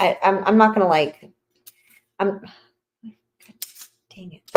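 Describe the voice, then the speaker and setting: A woman is mumbling. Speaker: podcast host cooking on livestream. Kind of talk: casual livestream chat while cooking. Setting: live stream.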